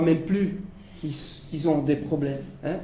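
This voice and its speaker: There is noticeable background noise and audible room echo as a man speaks at a high pitch with ordinary pitch variation. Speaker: social enterprise leader. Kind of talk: panel discussion. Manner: animated; halting.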